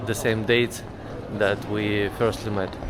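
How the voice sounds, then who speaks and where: With a non-native accent, a man of medium pitch speaks with fairly even intonation amid noticeable background noise and audible room echo. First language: not English. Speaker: travel vlogger. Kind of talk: travel vlog. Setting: on location in Paris. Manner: halting, many fillers.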